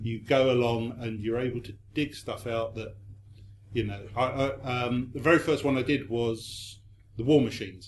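A somewhat breathy male voice at a moderate pace, with fairly even intonation. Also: medium pitch for a man. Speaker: magazine editor. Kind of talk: panel discussion.

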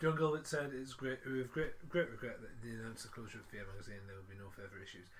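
Somewhat breathy and medium in pitch, a man talks at a very fast pace with lively intonation, big swings in loudness and hardly any pauses. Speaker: podcast host. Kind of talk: casual chat. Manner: chatty, jokey.

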